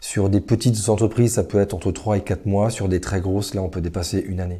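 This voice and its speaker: On a very clean recording with a silent background, a man speaks in a fairly low pitch with a dark, mellow tone and monotone, flat intonation. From western France (Le Mans, Niort, Nantes). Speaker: entrepreneur. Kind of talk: interview. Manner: hesitant, many fillers.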